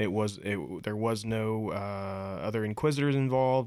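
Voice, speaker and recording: The voice belongs to a man. His pitch rises and falls only a little, staying fairly even. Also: very clean recording, silent background. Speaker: podcast host. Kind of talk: casual chat. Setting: studio. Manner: loud.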